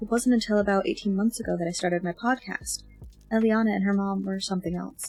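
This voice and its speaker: In a relaxed tone, a woman speaks somewhat breathily, with a dry, close sound and no echo. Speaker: amateur audiobook reader. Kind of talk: fiction narration with character dialogue. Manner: relaxed, casual.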